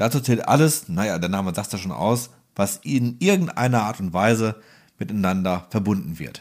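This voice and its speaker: A man's fairly low, ordinary speaking voice with lively intonation at a moderate pace, in a very clean recording with a silent background. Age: 30s. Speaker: welding podcast co-host. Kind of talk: casual technical explainer chat.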